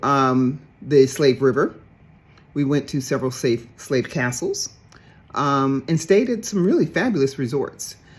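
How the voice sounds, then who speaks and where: A woman's very deep, low voice with lively intonation, on a very clean recording with a silent background. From US South, Dallas, Texas. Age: 60s. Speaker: traveler on a heritage trip. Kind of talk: personal testimony. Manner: halting, many fillers.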